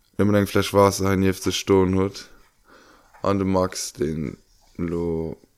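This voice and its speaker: A man's very deep, low voice, very slow with long, frequent pauses and fairly even intonation, on a very clean recording with a silent background. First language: Luxembourgish (speaking German). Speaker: podcast co-host. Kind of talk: casual chat.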